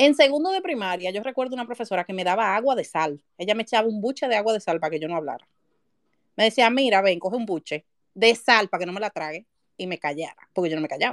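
A woman in a Dominican accent at a very fast pace, medium in pitch, with lively intonation and a dry, close sound with no echo. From Dominican Republic, Santo Domingo. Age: 30s. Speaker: writer. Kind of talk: casual chat. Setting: live audio space online.

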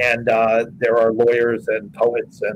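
A man with an American accent speaks at a fairly slow pace. Background noise is noticeable. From New York City, Manhattan. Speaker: film director and producer. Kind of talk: interview.

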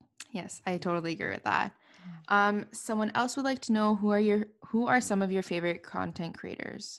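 Here a woman has an unremarkable speaking voice in a Canadian accent at a fairly quick pace. Her pitch is medium with ordinary variation. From Montreal, Canada. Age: 20s. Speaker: podcast host. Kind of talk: casual interview; solo monologue.

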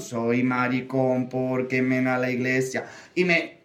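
A man speaks at a medium pitch. Room echo can be heard. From Andalusia (Córdoba). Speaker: drag queen. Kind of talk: casual chat.

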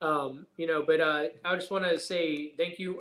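A man has a normal speaking voice with a fairly high pitch. He keeps a moderate pace and fairly even intonation. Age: 30s. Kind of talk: casual interview chat.

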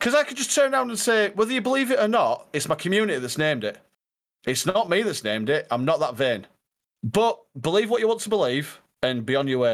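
Speaking very fast in a Yorkshire accent, a man with a high pitch moves through very wide pitch swings on a very clean recording with a silent background. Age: 30s. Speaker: streamer. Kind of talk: casual chat.

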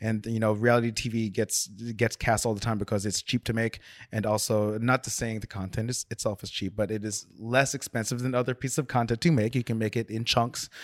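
The recording is very clean and dry, close with no echo, over a silent background. A man of medium pitch speaks in a flat monotone at a fairly quick pace, with hardly any pauses. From South Orange, New Jersey. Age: 40s. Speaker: designer. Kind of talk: casual chat.

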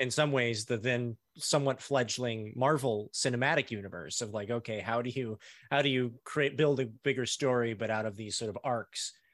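A man with an ordinary speaking voice talks at a moderate pace, his pitch medium and his intonation fairly even. The recording is very clean, with a silent background. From US. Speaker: TV screenwriter. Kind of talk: casual interview chat.

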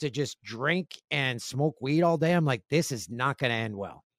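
A man with an ordinary speaking voice talks at a moderate pace with lively intonation, in a very clean recording with a silent background and a dry, close sound with no echo. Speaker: guest sharing addiction story. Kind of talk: testimony.

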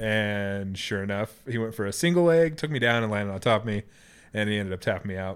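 The speaker has an American accent. The pace is very fast, with ordinary pitch variation. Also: man, fairly low pitch for a man. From Idaho, US. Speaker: podcaster and postal contractor. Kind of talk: casual chat. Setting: studio, sharing one microphone.

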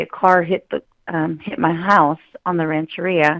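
A plain, everyday voice comes from a woman with an American accent. Her pitch is fairly low. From Northern California, Mendocino Coast. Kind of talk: interview testimony.

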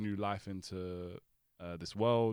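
The man's fairly low voice stays monotone, with flat intonation. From North London, England. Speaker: podcast guest. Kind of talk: casual chat.

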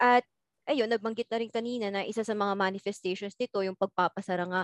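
A woman speaks at a medium pitch in a monotone, flat intonation. The background is quiet. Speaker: university student. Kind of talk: casual chat.

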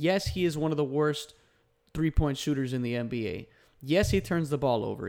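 A man with a normal speaking voice, fairly high pitch and ordinary pitch variation, on a very clean recording with a silent background. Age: 20s. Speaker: basketball podcast host. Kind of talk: solo podcast commentary. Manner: casual with frequent fillers.

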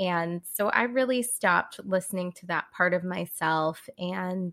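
In a very clean recording with a silent background and a dry, close sound with no echo, a woman with a normal speaking voice talks fairly slowly at a medium pitch. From California. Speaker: human design reader and artist. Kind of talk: interview, explanatory chat.

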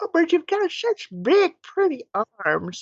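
Speaking at a fairly slow pace, a female-sounding voice puts on a squeaky character voice at an extremely high pitch.

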